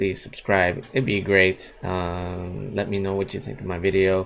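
Light background noise sits behind a man whose very deep, low pitch holds fairly even intonation. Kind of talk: casual vlog chat. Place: home room. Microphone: webcam.

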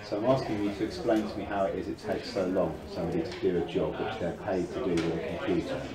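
Over loud background noise, a man talks at a very fast pace with hardly any pauses and ordinary pitch variation. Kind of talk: tense conversation with clinician.

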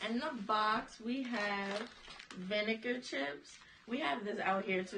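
A woman's voice over noticeable background noise. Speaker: host of family snack channel. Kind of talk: casual vlog chat. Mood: playful, laughing. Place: home room. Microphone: camera far.

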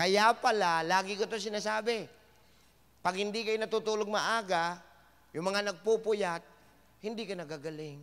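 In a very clean recording with a silent background, a man with a high pitch and an animated tone uses ordinary pitch variation and takes long, frequent pauses. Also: moderate pace. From Samar, Philippines. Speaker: health forum speaker. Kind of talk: health seminar talk to live audience. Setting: stage with live audience.

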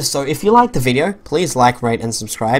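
Someone with an Australian accent talks at a very fast pace. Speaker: gaming YouTuber. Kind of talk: let's play commentary. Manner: hesitant, many fillers.

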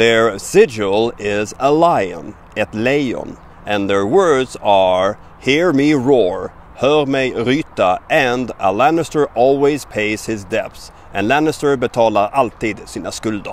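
A man at a very slow pace with lively intonation, in a dry sound with no echo. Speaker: language teacher. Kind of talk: tutorial. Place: forest. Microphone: phone near.

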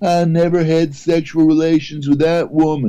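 At a moderate pace, a man speaks in a fairly high voice with a dark, mellow tone. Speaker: comedian. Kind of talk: casual chat. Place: home room. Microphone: video call.

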